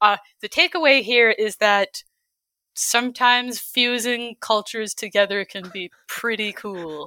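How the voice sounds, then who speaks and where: A woman at medium pitch with a Canadian accent, bright, sharp tone and ordinary pitch variation, in a dry, close sound with no echo. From Calgary, Canada. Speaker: illustrator and concept artist. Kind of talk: casual interview chat.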